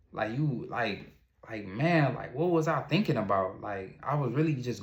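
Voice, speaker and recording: In audible room echo, a man with an American accent talks at a fairly quick pace. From Ohio, US. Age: 30s. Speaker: entrepreneur and vlogger. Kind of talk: personal testimony monologue. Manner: halting, repetitive restarts.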